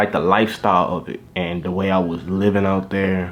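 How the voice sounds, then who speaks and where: Over noticeable background noise, a man speaks with a Southern US accent. His very deep, low voice moves at a fairly quick pace. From Louisiana. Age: 20s. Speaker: YouTuber. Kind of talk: casual vlog monologue.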